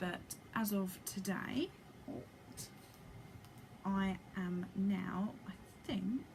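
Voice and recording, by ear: A woman at a very slow pace, medium pitch, slightly mellow tone, ordinary pitch variation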